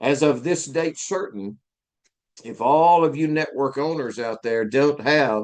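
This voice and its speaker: Against a quiet background, a man talks with a Southern US accent and lively intonation. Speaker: IT instructor. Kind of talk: live lecture. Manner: casual, with hesitations.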